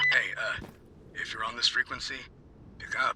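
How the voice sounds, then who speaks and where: Putting on a character voice, a man speaks at a moderate pace in an extremely high, raspy tone, with clear background noise behind him. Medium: machinima. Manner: hesitant, casual.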